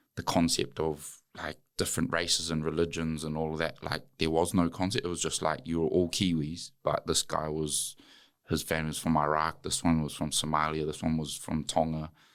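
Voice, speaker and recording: On a very clean recording with a silent background, the speaker uses a New Zealand accent, monotone, flat intonation, and a moderate pace. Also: man, very deep, low pitch for a man. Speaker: former rugby player and wellness entrepreneur. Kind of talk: podcast interview. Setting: studio.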